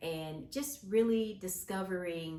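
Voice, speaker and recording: Speaking very slowly, a woman uses a fairly low pitch with ordinary pitch variation. Audible room echo surrounds her voice. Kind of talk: casual vlog monologue. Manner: hesitant with frequent fillers.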